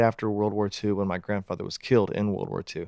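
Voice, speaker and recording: With an American accent, a man speaks very fast in a fairly low pitch. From Pittsburgh, Pennsylvania. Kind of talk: interview conversation. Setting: studio.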